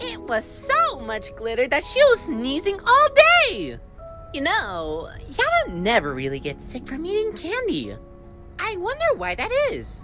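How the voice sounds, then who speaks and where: Over clear music in the background, someone performs a put-on character voice at a fairly slow pace. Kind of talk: fan-made character voice acting. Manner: chatty, conspiratorial.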